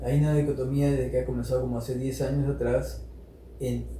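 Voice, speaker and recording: Noticeable background noise sits behind a man's voice. His pitch is fairly low and swings very widely. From Peru. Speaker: storyteller and social activist. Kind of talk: interview answer.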